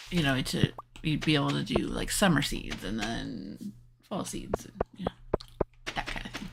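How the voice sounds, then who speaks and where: The speaker leaves long, frequent pauses. Noticeable background noise runs underneath. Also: moderate pace. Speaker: gaming streamer. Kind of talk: live gameplay stream commentary. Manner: yawning.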